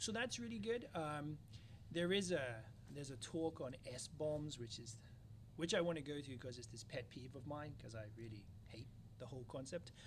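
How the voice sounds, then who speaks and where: In an English accent, a man speaks at a moderate pace and medium pitch, somewhat breathy, with lively intonation. His loudness swings widely, and audible room echo fills the space. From London, England. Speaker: security company founder. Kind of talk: interview. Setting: conference.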